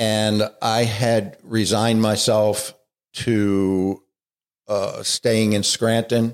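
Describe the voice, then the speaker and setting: A man talks in an American accent at a fairly low pitch. His intonation is monotone and flat. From Baltimore, US. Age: 60s. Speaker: addiction treatment director. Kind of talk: casual interview.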